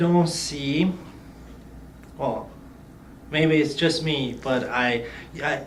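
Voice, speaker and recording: A man with a slight Romanian accent and ordinary pitch variation, with audible room echo and noticeable background noise. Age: 20s. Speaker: youth leader, non-profit ambassador. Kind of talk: interview.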